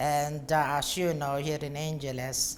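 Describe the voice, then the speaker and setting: Very slowly, a woman speaks with a Filipino accent. Her pitch is very deep and low. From Philippines, Pampanga. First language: Kapampangan. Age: 60s. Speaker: bar and hotel owner. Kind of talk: interview.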